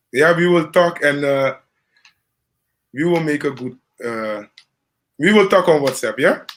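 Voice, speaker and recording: With a Dutch Caribbean accent, a man at a fairly high pitch talks at a fairly slow pace, using ordinary pitch variation and long, frequent pauses. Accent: Dutch-Caribbean accent with rolled R's. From Caribbean, Curacao. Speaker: live stream host. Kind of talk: casual chat.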